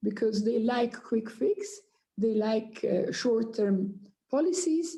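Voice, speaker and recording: A woman's dark, mellow tone at a fairly slow pace, with very wide pitch swings. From Afghanistan. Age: 60s. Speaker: Afghan politician. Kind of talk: panel discussion. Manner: impassioned.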